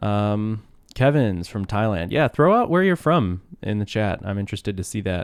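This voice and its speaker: In a rumbling, fairly low voice, a man talks at a moderate pace in a relaxed tone with lively intonation and long, frequent pauses, recorded very cleanly over a silent background. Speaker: open-source developer live streaming. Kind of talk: casual live stream chat. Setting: live stream from home desk. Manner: relaxed, conversational.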